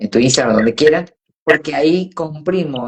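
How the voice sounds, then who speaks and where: A woman talks in a very deep, low pitch. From Argentina, Córdoba. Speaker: voice coach. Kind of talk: interview on a live stream. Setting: live video stream.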